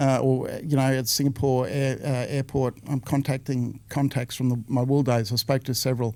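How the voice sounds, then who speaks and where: A man with an Australian accent speaks at a moderate pace and medium pitch, with hardly any pauses. His tone is dark and mellow, and his intonation stays monotone and flat. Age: 60s. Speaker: former business owner, real estate veteran. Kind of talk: casual interview. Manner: halting, with fillers.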